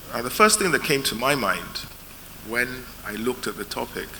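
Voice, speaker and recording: A fairly slow pace amid noticeable background noise and audible room echo. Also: man. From UK. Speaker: lawyer, panel chair. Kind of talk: conference panel talk.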